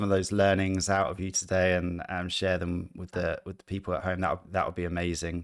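A man with a very deep, low pitch at a moderate pace, in a very clean recording with a silent background. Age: 30s. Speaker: podcast host. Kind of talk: casual chat. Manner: halting.

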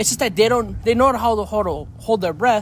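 The speaker is a man. He talks at a moderate pace. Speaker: podcast co-host and guest. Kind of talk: casual interview chat. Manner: relaxed, jokey.

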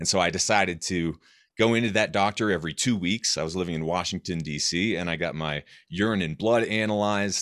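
A very deep, low male voice with an American accent and ordinary pitch variation, in a very clean recording with a silent background. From US Northeast, rural New Hampshire. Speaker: author and health podcaster. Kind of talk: interview.

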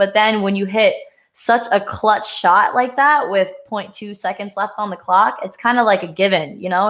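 A woman with an American accent talks at a moderate pace in an ordinary speaking voice. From Pennsylvania, US. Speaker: podcast co-host. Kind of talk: casual chat.

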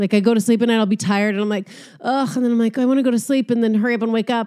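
This woman's voice sits fairly high and carries an animated tone. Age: 40s. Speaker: comedian and podcaster. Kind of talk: casual solo monologue.

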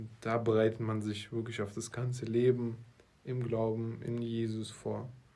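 A man speaks slowly-ish at medium pitch, his tone dark and mellow. His intonation is monotone and flat, and room echo is audible. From Russia (Moscow), then Berlin. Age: 20s. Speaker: marketing entrepreneur, podcast co-host. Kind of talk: casual chat.

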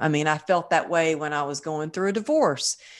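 Against a quiet background, a woman talks with an American accent. Her pitch is very deep and low, and her pace is moderate. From Texas. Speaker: wellness coach and author. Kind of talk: interview.

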